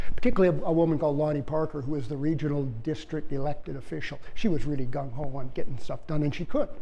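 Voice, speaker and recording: A man with a Canadian accent speaks in an animated tone with ordinary pitch variation. Audible room echo surrounds his voice. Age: 70s. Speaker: retired bear biologist. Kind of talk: public lecture. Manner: animated storytelling.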